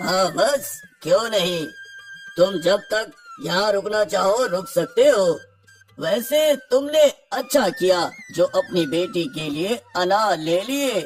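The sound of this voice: In a cartoonish character voice, a man talks at a high pitch with lively intonation and a fairly slow pace. Faint music plays in the background.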